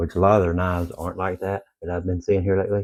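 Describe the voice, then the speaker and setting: Quiet and very deep in pitch, a man talks at a fairly quick pace with monotone, flat intonation in a very clean recording with a silent background. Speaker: outdoor gear YouTuber. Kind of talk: product review. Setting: at home in the evening. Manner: quiet, low.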